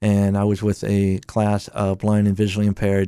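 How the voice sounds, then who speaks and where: On a very clean recording with a silent background, a man with a fairly low pitch and a dark, mellow tone speaks at a moderate pace in a monotone, flat intonation. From Delaware, Claymont. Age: 50s. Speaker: community radio DJ. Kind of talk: radio interview.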